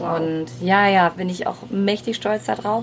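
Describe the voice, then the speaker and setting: Noticeable background noise runs beneath a voice with ordinary pitch variation. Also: woman. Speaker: singer and speaker. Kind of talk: casual chat. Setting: outdoors.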